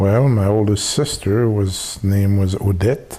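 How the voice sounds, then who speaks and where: At a very slow pace, a man speaks in a somewhat breathy voice with a fairly low pitch, a dark, mellow tone and ordinary pitch variation. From Haiti. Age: 60s. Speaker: family elder interviewee. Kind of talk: oral history interview. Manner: halting, many filler pauses.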